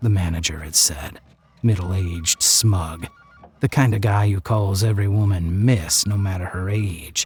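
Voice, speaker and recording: Ordinary pitch variation at a moderate pace, over noticeable background noise. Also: man, fairly low pitch for a man. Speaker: audiobook narrator. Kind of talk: horror story narration.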